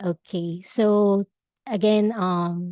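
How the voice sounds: A woman's husky voice at medium pitch, very slow and fairly even in intonation, in a dry, close sound with no echo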